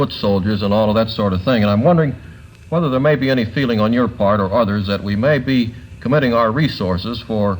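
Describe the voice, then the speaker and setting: With music in the background, a man of medium pitch talks at a fairly quick pace using lively intonation. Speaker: NBC commentator, panel journalist. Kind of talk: television interviewer question.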